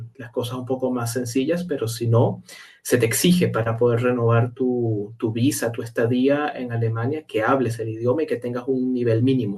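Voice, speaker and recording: A man's somewhat breathy, medium-pitched voice with a Caracas accent, fairly even intonation and a moderate pace. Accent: Venezuelan (Caracas). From Caracas, Venezuela. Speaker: meteorologist. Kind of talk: interview answer.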